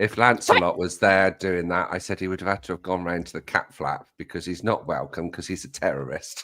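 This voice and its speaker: With an English accent, a man speaks at a fairly quick pace with hardly any pauses, his very deep, low pitch carrying fairly even intonation. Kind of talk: casual chat. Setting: livestream.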